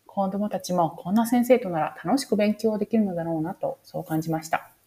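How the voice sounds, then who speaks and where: Somewhat breathy and dark, mellow in tone, a woman speaks fairly quickly at a medium pitch with lively intonation. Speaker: podcast host, interviewer. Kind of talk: scripted recap narration; interview podcast.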